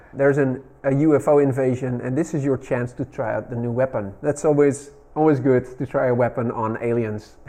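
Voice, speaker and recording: A man speaking at a fairly quick pace with fairly even intonation and hardly any pauses. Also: medium pitch for a man. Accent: Dutch. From Netherlands. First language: Dutch. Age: 40s. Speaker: retro gaming YouTuber. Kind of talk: casual video narration.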